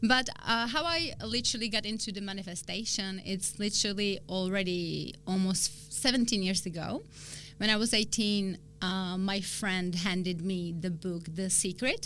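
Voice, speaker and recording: Speaking in a Czech accent, a woman talks at a moderate pace with a medium pitch and ordinary pitch variation. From Czech Republic, small town near Prague. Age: 30s. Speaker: spiritual coach. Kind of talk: interview.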